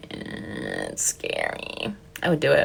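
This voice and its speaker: A woman's animated voice at a fairly slow pace, against noticeable background noise. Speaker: content creator. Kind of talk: casual livestream chat.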